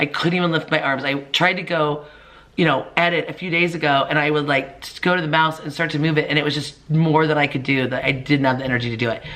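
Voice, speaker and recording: Fairly quick in pace, a woman with a very deep, low pitch and a bright, sharp tone speaks with ordinary pitch variation amid audible room echo. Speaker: lifestyle vlogger. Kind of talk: casual vlog chat. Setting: home video recording with makeshift lights. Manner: chatty, rambling with fillers.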